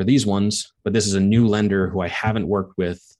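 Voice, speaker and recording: A man with an American accent, an unremarkable speaking voice, fairly low pitch, fairly even intonation and a fairly quick pace, against a quiet background. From Long Island, New York. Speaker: real estate investment firm founder. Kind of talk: interview.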